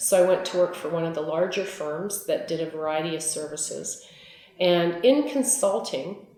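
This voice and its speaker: A woman in a Canadian Prairie accent speaks at a moderate pace and fairly low pitch, with noticeable background noise and audible room echo. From Manitoba, Canada. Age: 60s. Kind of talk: interview testimony. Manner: conversational, with frequent fillers.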